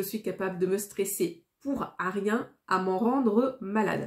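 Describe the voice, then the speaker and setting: Somewhat breathy and medium-pitched, a woman talks at a very slow pace with fairly even intonation. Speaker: YouTuber. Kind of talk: casual vlog monologue. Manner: not well articulated.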